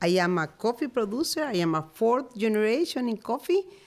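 Very wide pitch swings mark this voice, which has a Spanish accent. The pace is moderate. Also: woman. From Honduras, Marcala. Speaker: coffee farmer. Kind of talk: interview. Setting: studio.

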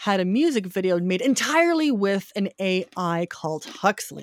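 A woman's normal speaking voice at medium pitch, ordinary pitch variation, with an American accent, dry and close with no echo, very clean recording with a silent background. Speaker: film critic. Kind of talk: casual chat.

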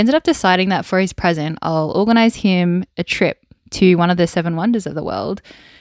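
Recorded very cleanly against a silent background with a dry, close sound and no echo, a woman with an Australian accent speaks at a fairly quick pace in a medium pitch with ordinary pitch variation. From Wollongong, New South Wales, Australia. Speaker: podcast host, former army soldier. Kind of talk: solo podcast monologue. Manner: warm, conversational, with fillers.

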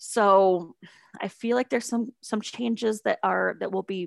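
Recorded very cleanly against a silent background, a woman with an Upper Midwest accent sounds dry and close, with no echo. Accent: Upper Midwest American. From South Dakota, Sioux Falls. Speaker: advertising instructor. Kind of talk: interview.

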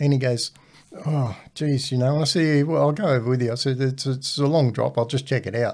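A man with an Australian accent, medium pitch, fairly quick pace, fairly even intonation and very even loudness. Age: 60s. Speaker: retired welding instructor, host's father. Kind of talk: casual chat.

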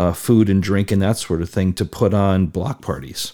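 Speaking in an American accent, the voice has a dark, mellow tone and fairly even intonation at a fairly slow pace. The recording is very clean, with a silent background. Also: man. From Connecticut, US Northeast. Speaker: community advocate. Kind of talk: casual chat. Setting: studio.

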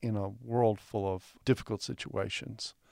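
A man with an American accent, at a fairly slow pace, in a dry, close sound with no echo and a very clean recording against a silent background. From Texas. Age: 60s. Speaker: biblical scholar. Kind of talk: interview conversation. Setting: studio.

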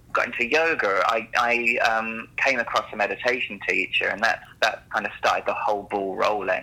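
A man talks at a moderate rate while noticeable noise fills the background. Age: 30s. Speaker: yoga teacher. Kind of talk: interview. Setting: studio.

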